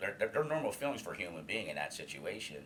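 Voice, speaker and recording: This clip has noticeable background noise. The speaker is a man. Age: 50s. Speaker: senior alumni coordinator in addiction recovery, former patient. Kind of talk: interview about personal recovery story. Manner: halting, many fillers and repetitions.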